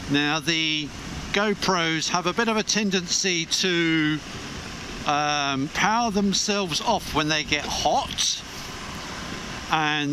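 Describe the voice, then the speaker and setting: There is noticeable background noise as a man speaks in a dry recording with no echo. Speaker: motorcycle vlogger. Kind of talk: casual vlog chat. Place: motorbike. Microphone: helmet.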